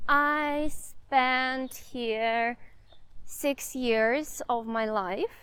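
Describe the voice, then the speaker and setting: A woman's high-pitched voice with a Russian accent, in a very clean recording with a silent background. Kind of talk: casual walking vlog talk to camera. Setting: outdoors. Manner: unscripted, hesitant.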